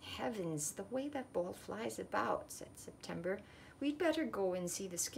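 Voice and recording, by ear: Lively intonation paired with reading aloud in a natural voice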